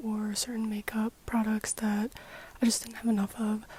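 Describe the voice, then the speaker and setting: A woman speaks quietly at a moderate pace with a fairly high pitch, the sound dry and close with no echo, while noticeable background noise is present. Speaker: beauty youtuber. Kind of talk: casual vlog talk. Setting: home basement.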